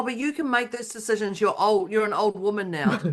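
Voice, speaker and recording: With noticeable background noise, a woman speaks at a very fast pace in a fairly high voice with ordinary pitch variation. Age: 50s. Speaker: podcast co-host. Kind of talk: casual chat.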